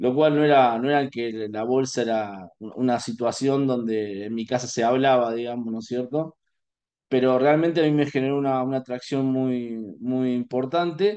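A dark, mellow tone in an Argentine accent, with ordinary pitch variation, a moderate pace and a quiet background. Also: man, medium pitch for a man. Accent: Rioplatense Argentine Spanish. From Argentina, Buenos Aires. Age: 40s. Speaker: financial market analyst. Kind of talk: interview. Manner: hesitant, many fillers. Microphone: video call.

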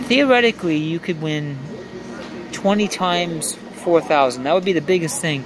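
A man with a high-pitched voice and lively intonation speaks at a moderate pace. The sound is dry with no echo, and there is noticeable background noise. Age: 50s. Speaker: video poker vlogger. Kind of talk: casual live gameplay commentary. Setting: casino. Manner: animated. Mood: wry, reflective about losses. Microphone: phone near.

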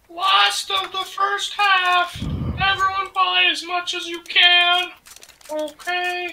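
A put-on character voice speaks at an extremely high pitch and a very slow pace. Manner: silly, exaggerated.

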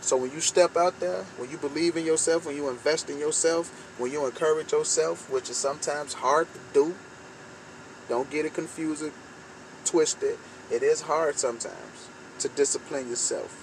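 Against light background noise, a man talks at a moderate pace with ordinary pitch variation in a dry sound with no echo. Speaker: vlogger. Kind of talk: motivational talk. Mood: earnest, encouraging. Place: car. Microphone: phone near.

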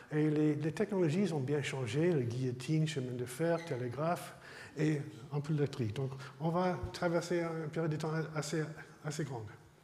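This man's voice sits fairly high in pitch, moving at a moderate pace with ordinary pitch variation. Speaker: emeritus research scientist lecturer. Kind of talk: lecture. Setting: lecture hall with audience. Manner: halting, hesitant. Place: hall.

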